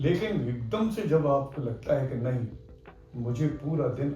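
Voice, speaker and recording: A man speaks with audible room echo and music in the background. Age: 70s. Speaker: orthopedic doctor. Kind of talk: interview.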